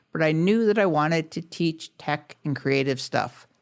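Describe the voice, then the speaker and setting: The speech moves at a moderate pace. A silent background marks this very clean recording. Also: man. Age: 50s. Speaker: podcast host. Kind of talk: podcast monologue.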